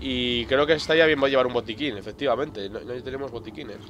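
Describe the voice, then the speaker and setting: A man at medium pitch speaks very fast in an animated tone, with ordinary pitch variation. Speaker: gaming video creator. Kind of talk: let's play commentary. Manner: animated, exclamatory at scary moments.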